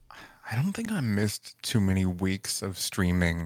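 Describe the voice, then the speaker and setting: Over a silent background in a very clean recording, a man speaks at a moderate pace with a very deep, low pitch. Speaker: streamer and musician. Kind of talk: casual interview. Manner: halting, many repetitions.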